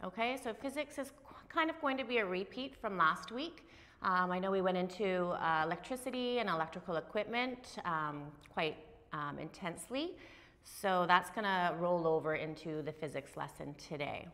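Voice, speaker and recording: At a moderate pace, a woman speaks with lively intonation and a bright, sharp tone. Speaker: instructor. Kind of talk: lecture. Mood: cheerful, upbeat. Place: classroom.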